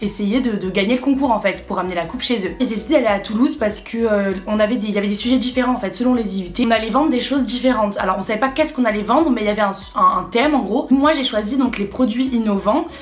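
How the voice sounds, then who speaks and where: A woman with a fairly high pitch and ordinary pitch variation talks very fast amid noticeable background noise and audible room echo. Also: hardly any pauses. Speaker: vlogger, student. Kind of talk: casual vlog.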